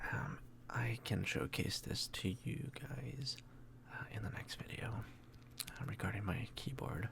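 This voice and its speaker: Very slowly and soft-spoken, the voice comes through with clear noise behind it. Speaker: ASMR creator. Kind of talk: ASMR keyboard showcase talk.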